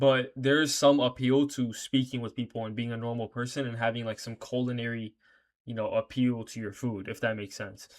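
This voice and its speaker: Quiet and flat in a monotone, a man talks at a fairly quick pace with big swings in loudness. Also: medium pitch for a man. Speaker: reaction video creator. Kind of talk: casual reaction commentary. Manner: casual, profane slangy talk; speaking quietly because late.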